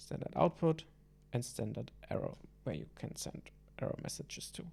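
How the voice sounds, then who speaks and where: The talking goes at a medium speed, carried in a non-native accent. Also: man. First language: not English. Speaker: hobby programmer. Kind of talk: programming tutorial talk. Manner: hesitant, casual.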